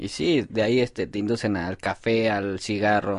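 Against a quiet background, a man speaks at a fairly low pitch. He has an ordinary speaking voice with ordinary pitch variation. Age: 19. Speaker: laborer. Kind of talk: testimony.

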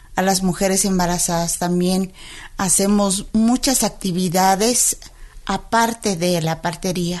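A woman at medium pitch, fairly slow in pace, with fairly even intonation. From Tenejapa, Chiapas, Mexico. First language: Tzeltal (speaking Spanish). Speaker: midwife and spokeswoman. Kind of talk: interview. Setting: radio studio.

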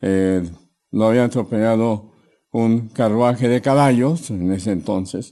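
Against a quiet background, a man talks at a fairly slow pace in a dark, mellow tone with ordinary pitch variation. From Mexico City. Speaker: chiropractor. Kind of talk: interview. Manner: hesitant, with fillers.

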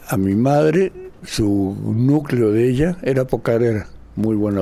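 Very slowly and with very wide pitch swings, a man speaks in a dark, mellow tone. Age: 80s+. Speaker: dancer and choreographer. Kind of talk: interview testimony. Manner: animated.

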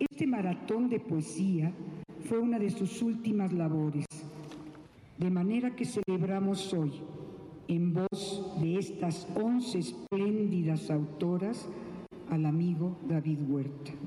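With noticeable background noise, a woman of medium pitch speaks at a very slow pace, taking long, frequent pauses, her intonation lively and her loudness very even. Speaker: cultural institution director. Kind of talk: tribute speech. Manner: formal.

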